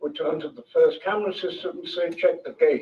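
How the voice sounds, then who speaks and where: This man talks in a London accent. He keeps a moderate pace. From London, England. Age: 80s+. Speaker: author, former film crew member. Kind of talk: public talk.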